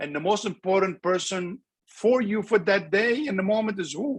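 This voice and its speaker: At a moderate pace and high pitch, a man speaks with ordinary pitch variation against a quiet background. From Lebanon. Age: 60s. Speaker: transplant surgeon. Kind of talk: webinar interview. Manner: animated.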